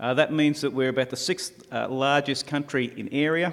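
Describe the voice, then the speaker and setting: Fairly quick speech from a man in an Australian accent, medium in pitch and fairly even in intonation, on a very clean recording with a silent background. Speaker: taxi industry representative. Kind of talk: conference presentation. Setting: conference stage with audience. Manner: hesitant, many uh fillers; fairly fast.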